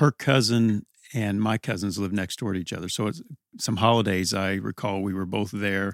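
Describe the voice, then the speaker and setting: This is a man with an American accent and an unremarkable speaking voice, fairly low in pitch. He talks at a moderate pace with fairly even intonation, in a dry, close sound with no echo. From southern Indiana, Evansville. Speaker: permanent deacon and school president. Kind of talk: interview, conversational storytelling. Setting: studio attic room.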